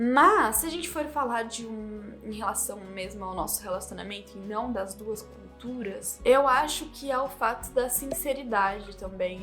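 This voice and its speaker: With music in the background, a woman with a Brazilian accent speaks at a moderate pace in a fairly high pitch, with ordinary pitch variation, hardly any pauses, and big swings in loudness. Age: 20s. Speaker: YouTuber. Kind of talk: casual talk to camera.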